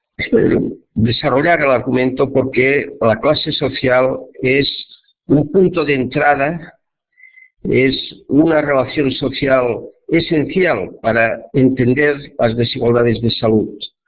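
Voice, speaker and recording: Very slowly and in a Catalan accent, a man with a fairly high pitch speaks at a very even loudness with ordinary pitch variation, and the room echo is audible. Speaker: professor and social epidemiologist. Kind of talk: lecture. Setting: web conference. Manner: slow, deliberate.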